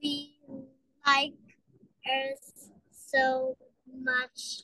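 This female-sounding voice is a put-on character voice with a robotic quality. Its pitch is high.

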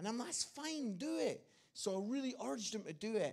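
A man at a fairly quick pace against a quiet background. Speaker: guest preacher. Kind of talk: sermon. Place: church. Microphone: handheld.

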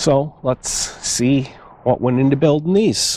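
Speaking at a very slow pace, a man is heard in a dry sound with no echo, though there is noticeable background noise. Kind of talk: casual DIY build commentary. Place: garden.

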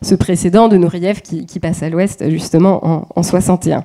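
Against a quiet background, a woman speaks at a very slow pace and fairly low pitch with monotone, flat intonation. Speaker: dance researcher. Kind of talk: academic presentation. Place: hall.

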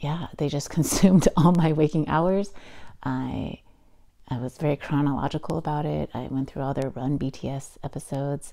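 A woman's very deep, low voice, dark and mellow in tone, with vocal fry, fairly even intonation, a moderate pace and a quiet background. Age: 40s. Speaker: podcast host and writer. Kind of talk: solo podcast monologue. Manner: casual with frequent fillers. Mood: enthusiastic, playful. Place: home room. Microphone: lapel.

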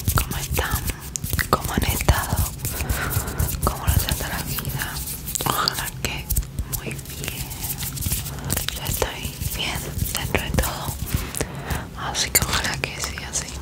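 A woman talks at a fairly slow pace. Her speech has long, frequent pauses. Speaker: ASMR creator. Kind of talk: ASMR whispered talk to camera. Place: home room. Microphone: studio mic.

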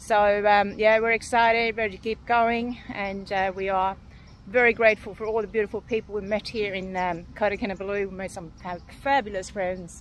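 Delivery is flat and monotone at a moderate pace. There is light background noise, and the sound is dry with no echo. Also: woman. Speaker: boat owner vlogger. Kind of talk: casual vlog chat. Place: waterside. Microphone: phone near.

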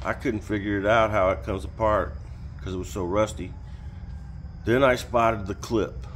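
Light background noise sits behind this recording. A man speaks at a moderate pace in a fairly low voice. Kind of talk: casual vlog chat. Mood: relaxed, reflective. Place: garage. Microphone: camera far.

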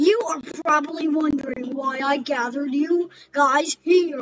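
This put-on character voice sits at a high pitch and moves at a moderate pace. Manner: scheming, dramatic.

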